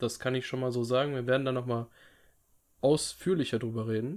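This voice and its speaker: At a medium pitch, the man speaks very fast. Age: 20s. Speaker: podcast co-host. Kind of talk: casual chat. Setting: video call.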